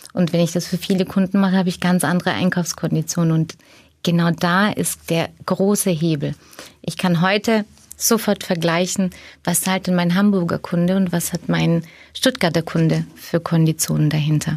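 A woman with a fairly low voice speaks somewhat breathily at a very even loudness and with fairly even intonation, recorded very cleanly against a silent background. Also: moderate pace. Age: 40s. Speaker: management consultant. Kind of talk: podcast interview.

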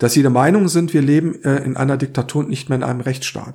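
A man's dark, mellow voice at a medium pitch with vocal fry, fairly quick in pace and ordinary in pitch variation. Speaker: podcast co-host. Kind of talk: casual discussion.

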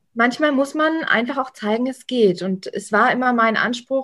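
The speaker uses ordinary pitch variation at a moderate pace. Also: woman. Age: young. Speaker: association political strategy manager. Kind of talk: casual interview. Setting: at home.

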